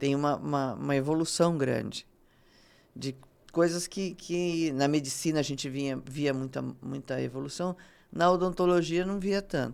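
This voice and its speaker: On a very clean recording with a silent background, a woman with a very deep, low pitch speaks at a moderate pace with ordinary pitch variation. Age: 60s. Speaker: dentist. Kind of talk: interview. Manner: halting.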